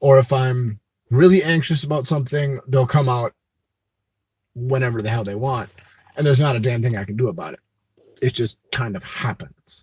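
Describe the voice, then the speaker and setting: Somewhat breathy, a man speaks at a medium pitch with ordinary pitch variation, big swings in loudness and long, frequent pauses. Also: moderate pace, dry, close sound with no echo. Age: adult. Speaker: vlogger. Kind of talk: live stream chat. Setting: live stream. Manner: vocal tics, halting at pauses.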